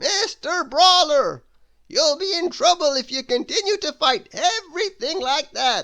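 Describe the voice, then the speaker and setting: A put-on character voice sits at an extremely high pitch. Its pace is fairly slow. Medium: read story. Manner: gentle.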